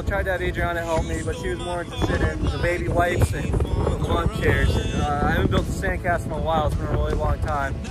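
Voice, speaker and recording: A man talks at a very fast pace over loud background music, the sound dry with no echo. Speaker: family vlogger. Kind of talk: casual vlog chat. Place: beach. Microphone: phone near.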